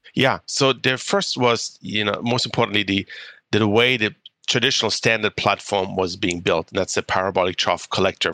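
Speaking at a moderate pace with a German accent, this voice has a dry, close sound and no echo. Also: man. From Germany. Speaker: clean tech entrepreneur. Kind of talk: interview.

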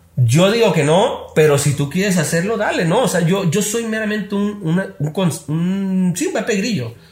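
A man's lively intonation at a fairly slow pace, with audible room echo. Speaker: social media consultant. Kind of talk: casual chat.

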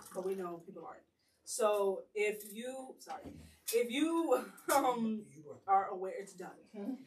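A woman speaks at a fairly high pitch, somewhat breathy and at a fairly slow pace. Her loudness swings widely, with long, frequent pauses. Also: lively intonation. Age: 20s. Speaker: podcast host. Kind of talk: casual group chat.

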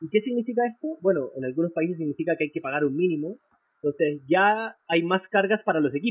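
At a very fast pace, a man talks with a high pitch and lively intonation. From Chile. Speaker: esports lawyer. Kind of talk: interview.

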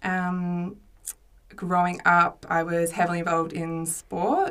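Speaking very slowly in an Australian accent, a woman uses a fairly low pitch and a monotone, flat intonation. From Australia, Mornington Peninsula, Victoria. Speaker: widowed mother. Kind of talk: casual chat. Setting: studio.

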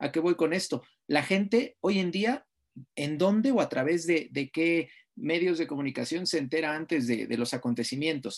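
An unremarkable speaking voice from a man, fairly high in pitch, with lively intonation at a moderate pace against a quiet background. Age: 30s. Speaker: sports journalist and lecturer. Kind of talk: interview.

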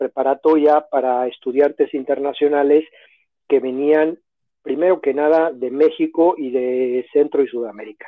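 A man with a Mexico City accent speaks at a fairly slow pace. His pitch is fairly high and his intonation fairly even. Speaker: educational consultant. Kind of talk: interview.

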